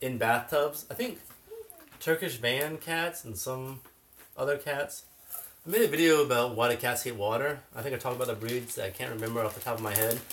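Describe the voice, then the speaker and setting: Mumbling at a fairly quick pace with ordinary pitch variation, the speaker is heard over noticeable background noise. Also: man, medium pitch for a man. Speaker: cat channel co-host. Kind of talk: livestream chat.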